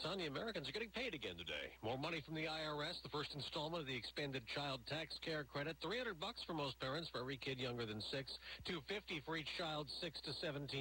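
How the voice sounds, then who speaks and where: A man's bright, sharp voice with vocal fry, very even loudness, lively intonation and a fairly quick pace with hardly any pauses. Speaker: news anchor. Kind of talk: news reading.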